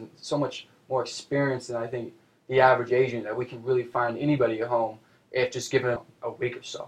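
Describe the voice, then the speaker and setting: Somewhat breathy and very fast, a man speaks at a medium pitch with monotone, flat intonation. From Seattle, US Pacific Northwest. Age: 20s. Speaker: real estate agent. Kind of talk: casual chat.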